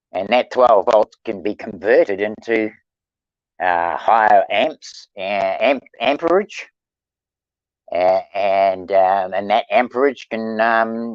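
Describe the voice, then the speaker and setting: The speaker goes at a very slow pace with ordinary pitch variation. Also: man, fairly low pitch for a man. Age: 70s. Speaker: panel guest. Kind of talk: casual discussion. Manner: halting; passionate.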